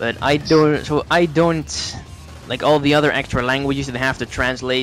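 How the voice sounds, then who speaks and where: Against noticeable background noise, a man with a Dutch accent talks at a moderate pace with fairly even intonation. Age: 18. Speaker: YouTube let's play narrator. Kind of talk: casual interview.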